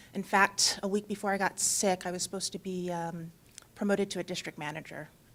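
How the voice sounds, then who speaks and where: Very fast and in a monotone, flat intonation, a woman delivers her words. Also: medium pitch for a woman. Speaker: patient speaker on a panel. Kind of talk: personal testimony. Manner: loud.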